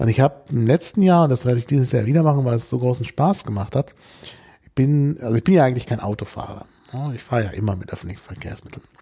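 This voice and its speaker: Somewhat breathy and dark, mellow in tone, a man at medium pitch talks at a very fast pace with lively intonation and big swings in loudness. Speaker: podcast host. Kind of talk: casual interview.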